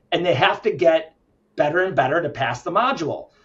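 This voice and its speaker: Somewhat breathy speech at a fairly quick pace. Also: man. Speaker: healthcare company founder and CEO. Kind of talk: interview. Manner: fast.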